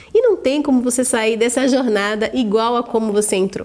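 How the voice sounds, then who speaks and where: In a plain, everyday voice, a woman talks at a moderate pace with a fairly high pitch. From interior of São Paulo state, Brazil. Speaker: vision training instructor. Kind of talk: sales pitch.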